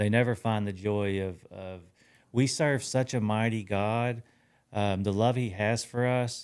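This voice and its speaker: An ordinary speaking voice with fairly even intonation comes through on a very clean recording against a silent background. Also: man, fairly low pitch for a man. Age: 40s. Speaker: podcast host. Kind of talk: casual interview.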